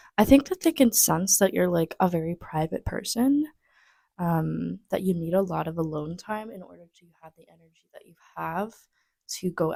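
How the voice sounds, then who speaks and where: A woman speaks softly at a moderate pace, her loudness swinging widely, in a dry, close sound with no echo. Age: 20s. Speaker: tarot reader. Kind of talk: tarot reading to camera. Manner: soft-spoken.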